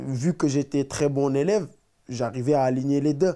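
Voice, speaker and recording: Behind a dark, mellow tone, the background stays quiet. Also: man. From Senegal, Dakar suburbs; Senegal. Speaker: professional footballer; interviewee. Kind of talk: interview. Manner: halting, many repetitions. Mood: relaxed, storytelling. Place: home room.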